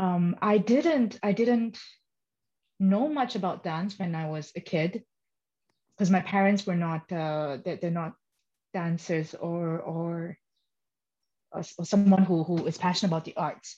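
At a fairly slow pace, a woman with a medium pitch and a dark, mellow, somewhat breathy tone speaks with ordinary pitch variation and long, frequent pauses. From Malaysia. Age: 30s. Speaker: professional dancer and dance teacher. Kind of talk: interview. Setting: podcast recording.

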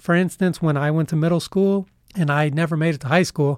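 In an unremarkable speaking voice, a man with an American accent speaks at a fairly high pitch and a fairly quick pace, with ordinary pitch variation. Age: 30s. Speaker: university student. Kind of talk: interview.

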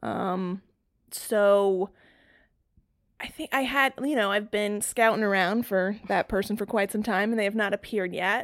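In a plain, everyday voice, a woman with an American accent speaks at medium pitch and a fairly slow pace, with fairly even intonation, on a very clean recording with a silent background. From North Carolina. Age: 30s. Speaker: brand designer. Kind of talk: casual chat.

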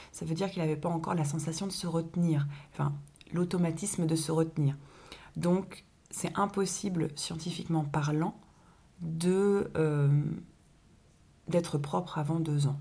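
A woman with a fairly low pitch and a dark, mellow, somewhat breathy tone speaks at a fairly slow pace. Her intonation stays fairly even, broken by long, frequent pauses. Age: 20s. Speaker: parenting podcast co-host, young mother. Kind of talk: casual chat.

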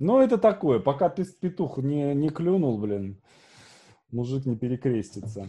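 A man speaks at a fairly slow pace with long, frequent pauses against a quiet background. His somewhat breathy voice is fairly high-pitched and dark and mellow in tone, with very wide pitch swings. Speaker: podcast host. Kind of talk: casual interview chat.

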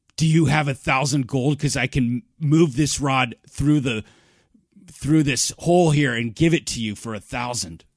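Using a put-on character voice, a man speaks raspily at a medium pitch and moderate pace with ordinary pitch variation. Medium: actual play. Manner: odd, deadpan, repetitive.

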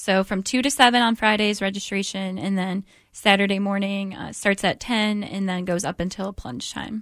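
A woman's medium-pitched, plain, everyday voice at a moderate pace, with fairly even intonation, hardly any pauses, and a very clean recording over a silent background. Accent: American. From US Midwest, Detroit area, Michigan. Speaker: charity development director. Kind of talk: radio interview.

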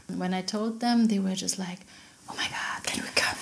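Somewhat breathy, a woman of medium pitch speaks with fairly even intonation. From Berlin, Germany. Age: 40s. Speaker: sex party organizer. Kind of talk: casual chat. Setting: home kitchen. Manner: laughs a lot.

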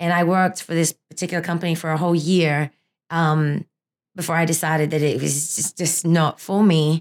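A woman's fairly low voice with an American accent, flat and monotone at a fairly quick pace, on a very clean recording with a silent background. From Australia. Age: 30s. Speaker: fitness instructor. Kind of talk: casual interview.

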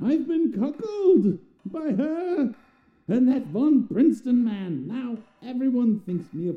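This is a put-on character voice pitched fairly high. It moves at a fairly slow pace. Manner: bitter, menacing.

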